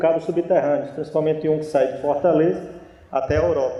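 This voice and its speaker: A man with a northeastern Brazilian accent speaks at a moderate pace in a high voice, with audible room echo. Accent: northeastern Brazilian (Natal), noticeable. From Brazil, Natal (Rio Grande do Norte). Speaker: naval officer and engineer. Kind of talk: conference lecture.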